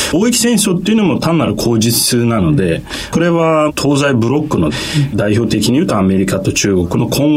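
Noticeable background noise and audible room echo surround a voice that moves at a moderate pace with very wide pitch swings. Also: man. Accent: Turkish. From Turkey. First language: Turkish (speaking Japanese). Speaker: economist. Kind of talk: radio interview.

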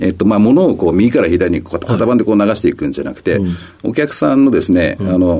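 With noticeable background noise behind him, a man talks at a very fast pace and fairly low pitch with lively intonation. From Kitakyushu, Fukuoka, Japan. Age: 60s. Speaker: company president. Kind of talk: radio interview. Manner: frequent fillers and hesitations.

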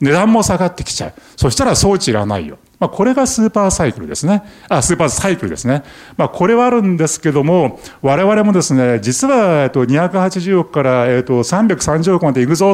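With a high pitch and very wide pitch swings, a man speaks at a fairly quick pace. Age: 60s. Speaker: company chairman. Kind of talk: investor presentation. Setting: stage with audience. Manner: many filler words.

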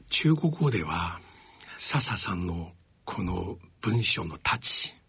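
A man speaks with a Chinese accent at a very slow pace. His tone is bright and sharp, with very wide pitch swings. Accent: Chinese-accented Japanese. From China. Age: 60s. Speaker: radio host and professor. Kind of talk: radio interview. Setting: studio.

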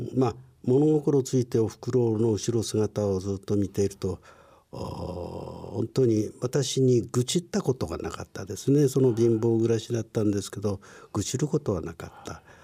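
At a moderate pace, a man with a somewhat breathy, dark, mellow voice speaks at a medium pitch and ordinary pitch variation, in a very clean recording with a silent background. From Japan, Ibaraki (Chikusei), born in Tokyo. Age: 60s. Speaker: company president, care business founder. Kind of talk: interview, life story. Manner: lecture-like.

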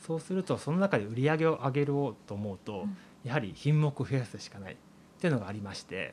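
Talking very fast, a man with a fairly high pitch makes very wide pitch swings and big swings in loudness. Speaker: farmer. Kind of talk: interview. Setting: on location at a farm.

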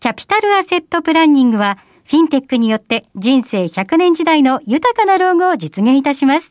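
With a high pitch, very wide pitch swings and big swings in loudness, a woman speaks at a fairly quick pace, the sound dry and close with no echo against a quiet background. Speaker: radio show assistant. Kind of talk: scripted announcements and reading listener mail.

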